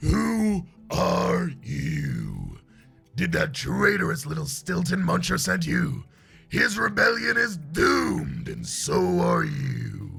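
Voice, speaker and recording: A man uses a put-on character voice at a very slow pace. Faint music plays in the background. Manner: menacing.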